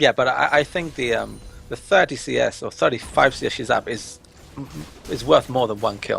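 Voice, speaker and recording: A man with an English accent speaks at a moderate pace with music in the background. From England. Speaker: esports commentator. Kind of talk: live commentary.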